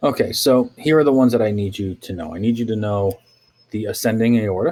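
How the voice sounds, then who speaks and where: A man at a medium pitch and fairly quick pace, dark and mellow in tone, with ordinary pitch variation, in a very clean recording with a silent background. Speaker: teacher. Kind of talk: lecture. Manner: fast.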